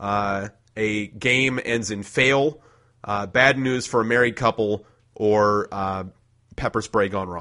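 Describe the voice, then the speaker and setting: Very slowly, a man speaks in a bright, sharp tone at a medium pitch with ordinary variation. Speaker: podcast host. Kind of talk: casual chat.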